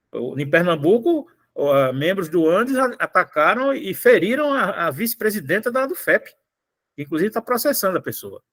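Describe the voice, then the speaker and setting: Pitched high, a man talks at a moderate pace with very wide pitch swings in a dry, close sound with no echo. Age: 60s. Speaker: union federation president. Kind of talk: online union meeting talk.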